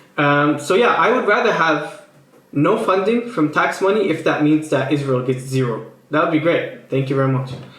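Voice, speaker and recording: A man with a fairly high pitch and lively intonation talks at a moderate pace and very even loudness, with audible room echo and noticeable background noise. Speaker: political commentary YouTuber. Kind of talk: casual commentary reacting to tweets. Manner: hesitant, many fillers and restarts.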